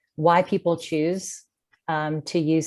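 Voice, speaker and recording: A woman speaks at a very slow pace. Her pitch sits fairly low. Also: very clean recording, silent background. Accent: American. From US, Washington D.C. area. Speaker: clinical psychologist. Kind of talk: interview.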